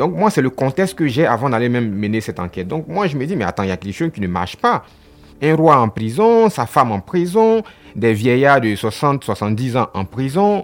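Over music in the background, a man with a medium-pitched voice speaks in very wide pitch swings. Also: moderate pace. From Côte d'Ivoire. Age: 30s. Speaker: journalist. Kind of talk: interview. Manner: halting, repeats words.

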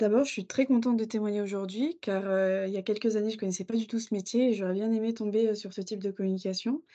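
A woman with a dark, mellow tone speaks at a medium pitch and a fairly quick pace, with hardly any pauses. Her intonation is fairly even, and the background is quiet. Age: 20s. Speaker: workplace health and safety officer. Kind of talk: interview. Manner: halting.

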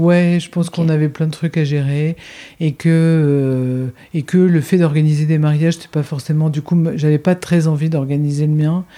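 The woman's pitch is very deep and low. Her tone is dark and mellow. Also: moderate pace. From France, Limoges and Bordeaux. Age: 40s. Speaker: former wedding planner, entrepreneur. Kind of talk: casual interview. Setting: at the host's home. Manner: animated.

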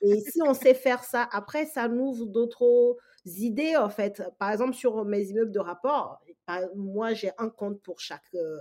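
A woman with an ordinary speaking voice talks at a fairly slow pace. Her fairly high pitch shows ordinary pitch variation. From Togo, West Africa. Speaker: real estate investor. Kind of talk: interview.

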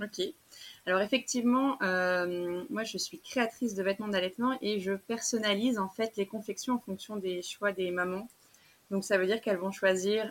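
A woman talks at a moderate pace in a medium pitch with ordinary pitch variation. It is a plain, everyday voice. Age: 30s. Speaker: small business owner, clothing maker. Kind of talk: interview.

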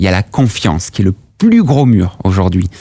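A man speaks in a plain, everyday voice. His intonation is lively and his pace moderate. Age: 30s. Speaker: startup founder. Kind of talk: casual interview. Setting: company office.

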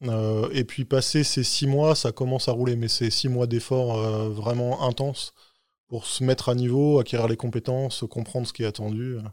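The recording is very clean, with a silent background. In it, a man talks with fairly even intonation at a medium pitch. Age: 40s. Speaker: tech executive. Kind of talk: interview. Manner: halting.

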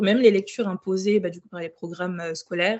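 This woman has an unremarkable speaking voice at a medium pitch, with fairly even intonation. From Burkina Faso, Ouagadougou. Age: 20s. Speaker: book influencer. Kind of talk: casual interview.

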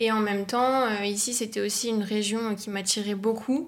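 The recording is very clean and the background silent. A woman's fairly high voice has fairly even intonation. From northeastern France, near Luxembourg border. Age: 20s. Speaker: communications agency co-founder. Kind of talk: casual interview.

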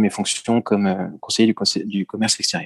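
A man at a fairly low pitch, monotone and flat, at a moderate pace, with a dry, close sound and no echo. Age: 40s. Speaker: retail executive. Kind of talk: interview. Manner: hesitant, with many filler words.

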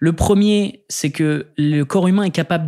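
In a very clean recording with a silent background, a man with a plain, everyday voice speaks at a fairly high pitch with ordinary pitch variation. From northern France, Lille suburbs. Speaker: public affairs director and lecturer. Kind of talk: interview. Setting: studio.

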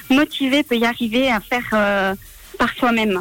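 A woman speaks over noticeable background noise. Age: 20s. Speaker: apprentice mechanic. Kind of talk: radio interview. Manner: halting, many fillers.

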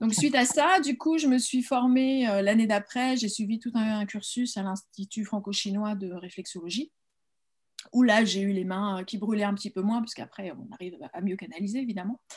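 At a moderate pace, a somewhat breathy woman with a fairly high pitch speaks with ordinary pitch variation and big swings in loudness. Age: 50s. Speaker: holistic coach. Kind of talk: interview. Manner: halting.

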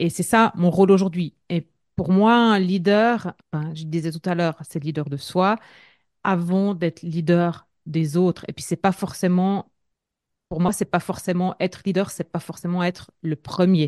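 A woman with an unremarkable speaking voice talks at a fairly slow pace in a fairly low pitch, the sound dry and close with no echo. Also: fairly even intonation, quiet background. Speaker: entrepreneur and leadership coach. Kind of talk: casual interview.

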